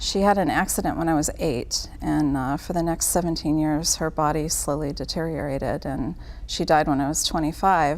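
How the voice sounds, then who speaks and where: A woman's very deep, low voice with vocal fry, at a moderate pace. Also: fairly even intonation. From Italian-American family. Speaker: caregiving nonprofit worker. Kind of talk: casual interview chat.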